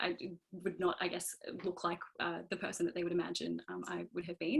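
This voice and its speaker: A woman speaks in a strong Australian accent. Her pace is moderate. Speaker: engineer on a panel. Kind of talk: panel discussion. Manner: halting, many fillers.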